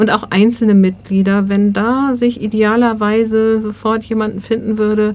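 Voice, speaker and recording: At a moderate pace, a woman speaks in a fairly high, monotone voice with flat intonation. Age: 60s. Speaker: volunteer coordinator, social worker. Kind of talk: interview.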